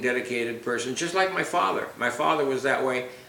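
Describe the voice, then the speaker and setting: Medium pitch from a man, with audible room echo and noticeable background noise around it. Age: 80s+. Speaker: retired attorney, father interviewed by daughter. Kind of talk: family oral history interview. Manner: halting, with frequent repetitions.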